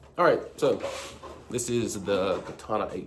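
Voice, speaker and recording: This is a man speaking. Audible room echo can be heard. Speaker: mouthpiece maker. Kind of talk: product demonstration. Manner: casual, with fillers.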